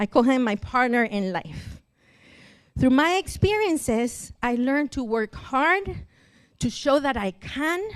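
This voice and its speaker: Speaking at a fairly slow pace with a Spanish accent, a woman uses a high pitch with very wide pitch swings. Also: very clean recording, silent background. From Mexico (Cancun). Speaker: church member and translator. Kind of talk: testimony.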